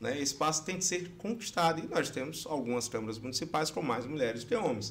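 A man talks at a fairly quick pace in a normal speaking voice. His pitch is fairly high and his intonation lively. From Brazilian Northeast. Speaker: election lawyer and law professor. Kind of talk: podcast interview.

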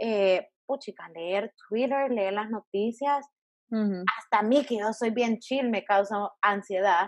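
A woman speaks at a very slow pace, her fairly high voice showing ordinary pitch variation. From El Salvador. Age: 20s. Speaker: podcast host. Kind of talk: casual chat.

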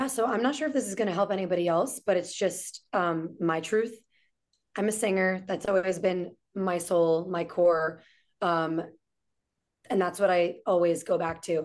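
An ordinary speaking voice with an American accent, moderate pace and ordinary pitch variation, over a quiet background. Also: woman, medium pitch for a woman. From New York City. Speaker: entrepreneur and restaurant owner. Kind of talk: casual chat.

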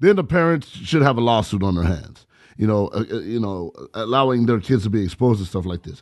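A man with a normal speaking voice talks at a fairly quick pace, at a medium pitch and with lively intonation. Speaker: radio producer and co-host. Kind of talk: casual radio banter.

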